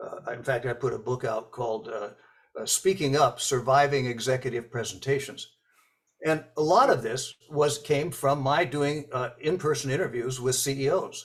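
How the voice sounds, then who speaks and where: A man with an American accent talks in a somewhat breathy voice with ordinary pitch variation. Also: fairly high pitch for a man, moderate pace. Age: 80s+. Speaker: author and speech coach. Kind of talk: interview. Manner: hesitant, many fillers and repetitions.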